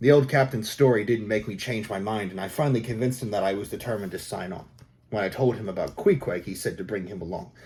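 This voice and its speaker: The voice is somewhat breathy and very fast, with big swings in loudness. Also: man, fairly low pitch for a man, ordinary pitch variation. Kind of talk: audiobook narration.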